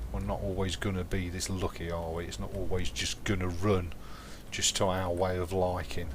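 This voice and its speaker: A man's very deep, low voice at a moderate pace, with audible room echo. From England. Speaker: gaming live streamer. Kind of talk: live gameplay commentary. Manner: casual, chatty.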